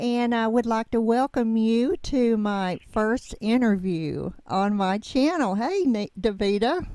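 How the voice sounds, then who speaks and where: A woman with a Southern US accent speaks at a very slow pace with hardly any pauses, her fairly high pitch moving in lively intonation and her tone dark and mellow. Her loudness stays very even on a very clean recording with a silent background. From US South. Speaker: YouTube channel host. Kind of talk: interview. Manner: halting.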